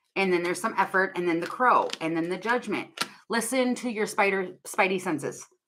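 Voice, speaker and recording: A woman speaks loudly with a bright, sharp tone. Her intonation is lively at a moderate pace. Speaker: tarot reader. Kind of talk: live tarot reading stream.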